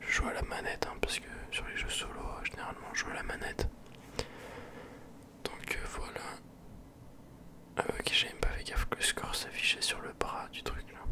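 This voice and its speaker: Whispering at a moderate pace, a man leaves long, frequent pauses amid noticeable background noise. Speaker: ASMR and gaming YouTuber. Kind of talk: casual talk to camera, post-commentary on a game. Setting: close microphone. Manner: relaxed, chatty.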